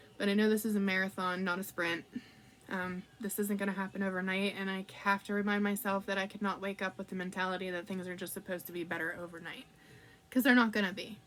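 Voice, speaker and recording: The woman's pitch is medium and her intonation monotone and flat. She speaks at a very fast pace. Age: 30s. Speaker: vlogger. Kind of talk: personal vlog. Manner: casual, many fillers.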